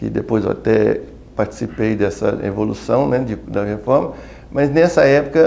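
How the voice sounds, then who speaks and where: A man talks fairly slowly while noticeable background noise fills the clip. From Brazil, Minas Gerais (Belo Horizonte). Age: 60s. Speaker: pediatrician and academic. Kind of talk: interview testimony. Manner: halting, with fillers.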